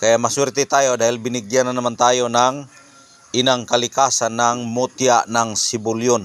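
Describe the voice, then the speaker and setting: Medium-pitched male voice with monotone, flat intonation and very even loudness. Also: moderate pace. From Visayas or Mindanao, Philippines. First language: Bisaya (Cebuano) (speaking Tagalog). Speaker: vlogger. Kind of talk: casual vlog talk.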